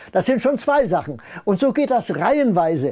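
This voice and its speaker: A man's dark, mellow voice at a fairly slow pace over a quiet background. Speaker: retired scientist speaking on paranormal research; interviewee. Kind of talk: interview, personal storytelling. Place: home room.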